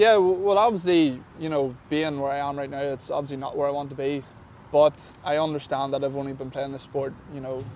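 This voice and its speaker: A man with an Irish accent talks at a fairly high pitch with ordinary pitch variation. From Ireland. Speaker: professional football kicker. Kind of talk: sports interview. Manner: fast; halting, many fillers.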